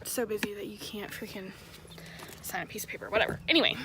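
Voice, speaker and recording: Whispering very fast with an American accent, a woman swings widely in loudness over noticeable background noise. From Tennessee, Nashville. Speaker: vlogger, military spouse. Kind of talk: casual vlog. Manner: casual with many fillers.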